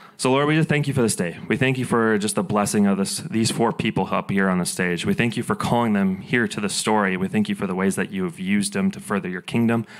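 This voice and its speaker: A fairly low-pitched man at a very fast pace, with hardly any pauses against a quiet background. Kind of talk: church announcements and prayer. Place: stage. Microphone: handheld.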